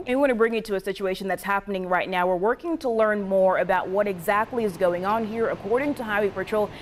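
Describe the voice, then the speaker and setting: Amid noticeable background noise, a woman with an American accent talks fairly quickly at a medium pitch with ordinary pitch variation. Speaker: TV news reporter and fill-in anchor. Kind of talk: live field reporting, standing at the scene.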